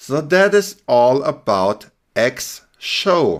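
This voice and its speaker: A man with a German accent and a fairly high pitch. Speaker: web development instructor. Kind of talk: tutorial. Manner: casual.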